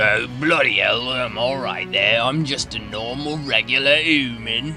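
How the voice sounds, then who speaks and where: Over clear background music, a man does a put-on character voice at medium pitch and a moderate pace. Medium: dub.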